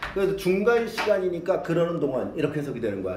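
A man talks in an animated tone with ordinary pitch variation. Audible room echo surrounds his voice. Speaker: English teacher. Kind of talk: lecture. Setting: classroom with students.

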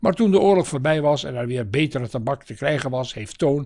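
On a very clean recording with a silent background, a man speaks at a fairly high pitch. His voice is somewhat breathy, with lively intonation and a moderate pace. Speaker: narrator reading a family chronicle. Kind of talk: 1960s newsreel-style narration, read aloud from a script. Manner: measured, formal, even-paced.

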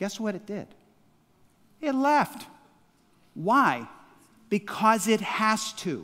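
A man talks in a raised, projected voice, high-pitched with a bright, sharp tone and ordinary pitch variation. His loudness swings widely, and he goes at a very slow pace with long, frequent pauses. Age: 60s. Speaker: pastor. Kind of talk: sermon. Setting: church. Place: church. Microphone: headset.

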